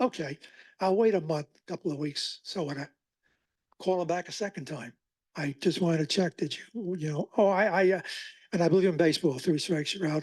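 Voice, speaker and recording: A man with a high-pitched voice talks at a fairly quick pace with long, frequent pauses and ordinary pitch variation, recorded dry and close with no echo against a quiet background. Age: 80s+. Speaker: oral historian giving a library talk. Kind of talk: public talk with audience Q&A. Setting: library talk with live audience.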